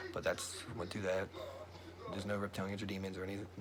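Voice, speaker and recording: A man with a very deep, low pitch at a very fast pace, amid noticeable background noise and audible room echo. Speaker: religious vlogger. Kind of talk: casual monologue. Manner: animated.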